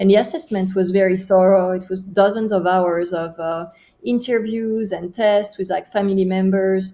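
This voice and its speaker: A woman speaks with a French accent at a medium pitch. Her pace is moderate and her intonation fairly even. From France. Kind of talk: interview.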